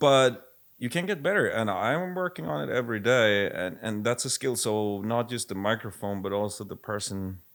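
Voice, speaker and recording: A man with a Swedish accent at medium pitch, lively intonation, a moderate pace and hardly any pauses, captured on a very clean recording with a silent background. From Sweden. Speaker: music producer and label head. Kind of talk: casual chat.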